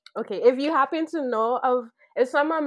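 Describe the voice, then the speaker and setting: A woman speaks with a Sint Maarten accent and ordinary pitch variation. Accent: Sint Maarten Caribbean English. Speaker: podcast guest, social venture co-founder. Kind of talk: casual chat.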